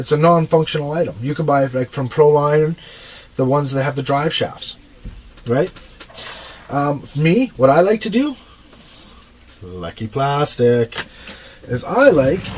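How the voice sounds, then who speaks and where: Noticeable background noise surrounds a man who talks at a fairly slow pace with long, frequent pauses, a fairly high pitch and lively intonation. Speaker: RC truck hobbyist vlogger. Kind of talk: casual video monologue, tutorial. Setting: home workshop, furnace room.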